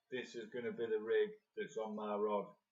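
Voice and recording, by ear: Soft-spoken and slightly mellow in tone, a man talks at a fairly low pitch with little pitch movement. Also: moderate pace.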